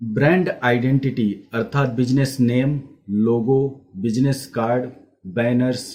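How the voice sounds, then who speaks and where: With ordinary pitch variation, a man speaks at medium pitch in a dark, mellow tone. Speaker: graphic designer. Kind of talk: educational class talk to camera.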